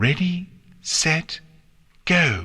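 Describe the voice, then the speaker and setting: A man puts on a sing-song character voice pitched fairly high. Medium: read story. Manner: refined, sing-song.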